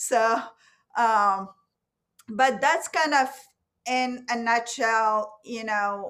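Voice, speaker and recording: Speaking very slowly with long, frequent pauses, a woman uses a fairly high pitch, a bright, sharp tone and ordinary pitch variation. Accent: non-native. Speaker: professor. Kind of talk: panel discussion.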